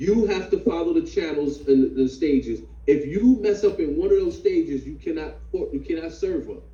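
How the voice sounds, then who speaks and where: A man talking with hardly any pauses over noticeable background noise. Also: moderate pace. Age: 50s. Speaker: fatherhood class instructor. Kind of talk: online class discussion.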